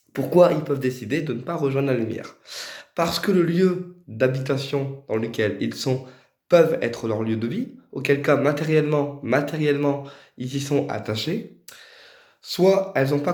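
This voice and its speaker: A man speaks with ordinary pitch variation, and the room echo is audible. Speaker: spiritual medium. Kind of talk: tutorial. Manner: hesitant.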